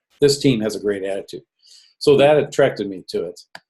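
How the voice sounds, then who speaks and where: A man is speaking. His pace is fairly quick. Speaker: network marketing promoter. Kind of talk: sales pitch. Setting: self-recorded video with screen share. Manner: fast.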